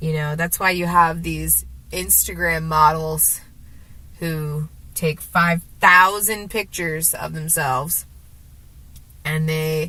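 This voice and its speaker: A woman talks at a very slow pace in a very deep, low pitch. Her speech has long, frequent pauses. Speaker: vlogger. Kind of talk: casual vlog monologue. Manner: rambling, halting with fillers.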